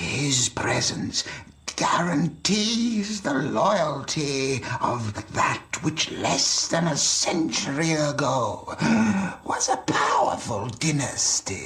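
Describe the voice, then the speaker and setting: Using a put-on character voice, a man speaks at a very slow pace with a fairly high pitch. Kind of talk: period drama acting. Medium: game stream. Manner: formal, authoritative.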